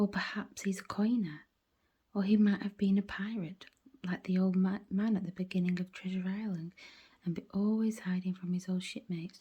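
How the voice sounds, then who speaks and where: The speaker is whispering at a moderate pace. The sound is somewhat breathy. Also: woman. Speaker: audiobook reader. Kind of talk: bedtime story reading. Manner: whispered.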